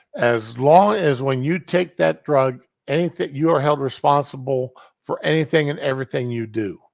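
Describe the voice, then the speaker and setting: With ordinary pitch variation, a man delivers his words at a medium tempo. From US, rural farming community. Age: 60s. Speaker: livestream host. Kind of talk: casual monologue. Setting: home, kitchen table. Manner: animated, halting.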